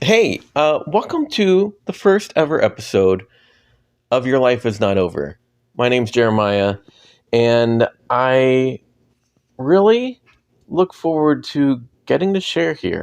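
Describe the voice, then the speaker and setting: A man speaks at a medium pitch, very slowly, with very wide pitch swings. He leaves long, frequent pauses. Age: 40s. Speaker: podcast host. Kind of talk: personal monologue. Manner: casual, hesitant with fillers.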